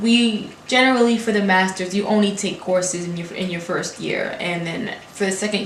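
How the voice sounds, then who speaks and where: A woman speaks at a moderate pace in a medium-pitched voice with fairly even intonation. Audible room echo and noticeable background noise accompany her. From Brooklyn, New York, Haitian family. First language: Haitian Creole. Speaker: graduate student. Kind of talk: casual vlog talk. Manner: words run together.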